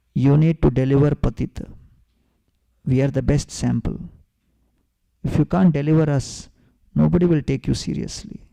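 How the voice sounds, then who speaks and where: Dark and mellow in tone, the voice moves at a moderate pace with ordinary pitch variation and long, frequent pauses, the sound dry and close with no echo. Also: man, fairly high pitch for a man. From South India. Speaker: spiritual teacher. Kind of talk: lecture.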